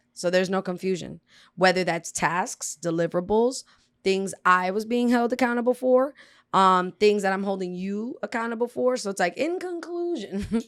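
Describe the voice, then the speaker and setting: A woman with an American accent at a medium pitch and moderate pace, ordinary pitch variation, on a very clean recording with a silent background. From South Florida (Broward), Dominican family. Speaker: poet and host. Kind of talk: casual interview chat.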